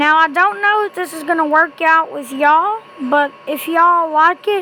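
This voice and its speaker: A woman's raised, projected voice at an extremely high pitch, moderate in pace with ordinary pitch variation, over noticeable background noise. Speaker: amateur creepypasta reader. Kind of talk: casual talk to camera.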